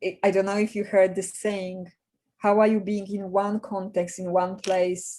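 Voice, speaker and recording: A woman's medium-pitched voice with a Polish accent, dark and mellow in tone, with monotone, flat intonation. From Poland. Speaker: executive coach. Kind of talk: webinar presentation. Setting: video call.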